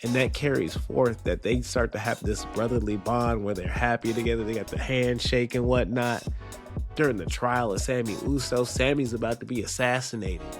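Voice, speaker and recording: A moderate pace, with music in the background. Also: man. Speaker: wrestling commentator. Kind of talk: casual commentary video.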